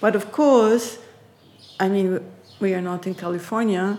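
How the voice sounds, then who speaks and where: Speaking at a fairly slow pace, a woman keeps a medium pitch. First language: German. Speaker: artist and researcher. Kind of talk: interview conversation. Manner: halting, with frequent repetitions.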